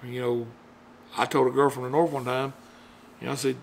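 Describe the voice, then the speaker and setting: A man is speaking. He has a Southern US accent. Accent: southern drawl. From US South. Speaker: YouTuber. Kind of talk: casual monologue. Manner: halting.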